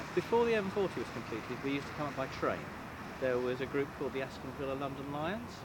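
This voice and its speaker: A man with a fairly high pitch and lively intonation talks at a very fast pace, with noticeable background noise and audible room echo. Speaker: retired head teacher, football fan. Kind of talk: interview. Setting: outdoors outside a football stadium.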